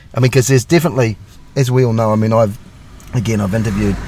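A man speaks with a New Zealand accent. Noticeable background noise can be heard. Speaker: podcast host, police constable. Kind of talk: interview. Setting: video call.

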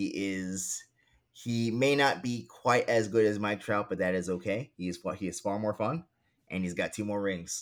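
A man's ordinary speaking voice, fairly low in pitch, with an American accent, ordinary pitch variation and a moderate pace, on a very clean recording with a silent background. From New York City (Queens). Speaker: sports journalist. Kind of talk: interview conversation.

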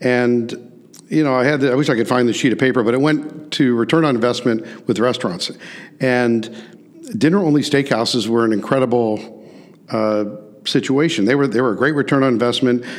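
With a Midwestern American accent, a man speaks at a fairly quick pace and medium pitch, with ordinary pitch variation and very even loudness. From US Midwest, St. Louis. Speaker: restaurant chain executive. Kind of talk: interview. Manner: hesitant fillers.

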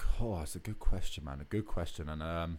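With an Essex accent, a man speaks at a moderate pace in a dark, mellow tone with very wide pitch swings. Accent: southern English (Essex). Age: 20s. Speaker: rock band singer and bassist. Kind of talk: casual interview chat.

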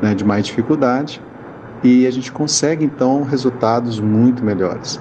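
Talking at a moderate speed with fairly even intonation, a man is heard through noticeable background noise. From Goiânia, Brazil. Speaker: spiritist group volunteer. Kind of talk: recorded testimonial. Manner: hesitant, filler 'né'.

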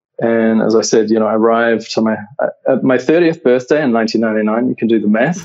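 Speaking at a fairly quick pace with hardly any pauses, a man with a New Zealand accent keeps a very even loudness, a medium pitch and ordinary pitch variation. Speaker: creative director. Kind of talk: interview.

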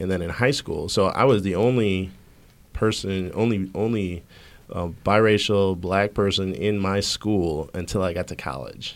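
Recorded very cleanly with a silent background, a man speaks in an unremarkable speaking voice, fairly low in pitch with ordinary pitch variation. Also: fairly slow pace. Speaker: high school principal. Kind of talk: panel discussion.

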